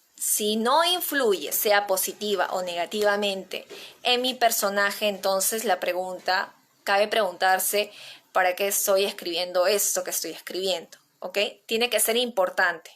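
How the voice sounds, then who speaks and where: A woman speaks with a Peruvian accent at a fairly slow pace. Her pitch is medium and her intonation fairly even. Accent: Peruvian Spanish (Lima). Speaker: playwriting teacher. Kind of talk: online workshop lecture.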